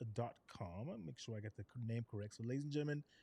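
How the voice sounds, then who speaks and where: A man speaks with an American accent and lively intonation. His tone is dark and mellow. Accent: Geechee accent may slip in. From South Carolina (Charleston, Gullah Geechee area). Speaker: podcast host, military veteran. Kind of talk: casual interview chat. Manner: animated.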